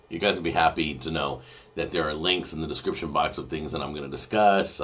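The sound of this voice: A put-on character voice, hoarse and raspy, races along at a very fast pace. The intonation stays fairly even. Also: man, very deep, low pitch for a man.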